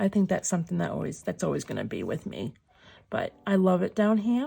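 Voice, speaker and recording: A woman talks at a fairly quick pace. She has a Boston accent. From Massachusetts, Lowell near Boston. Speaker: crafter, junk journal tutorial maker. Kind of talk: tutorial. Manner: casual, thinking aloud.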